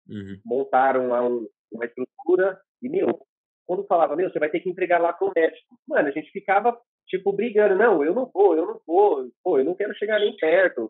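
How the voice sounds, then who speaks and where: Lively in intonation, a man talks at a fairly quick pace with a high pitch. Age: 30s. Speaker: motorcycle delivery courier. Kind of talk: interview testimony. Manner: halting, many repetitions.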